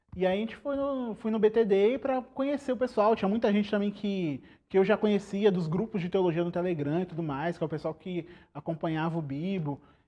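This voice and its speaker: A man speaks at a fairly quick pace. His high-pitched voice has lively intonation. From Brazil, São Paulo state (Guarulhos, Araras). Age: 20s. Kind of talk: podcast interview.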